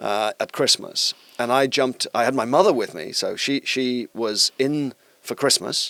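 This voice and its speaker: In a South Wales accent, a man of medium pitch talks at a moderate pace with a bright, sharp tone and a dry, close sound with no echo. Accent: Welsh (South Wales). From Wales (Bridgend). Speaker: tech company executive. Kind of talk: podcast interview answer.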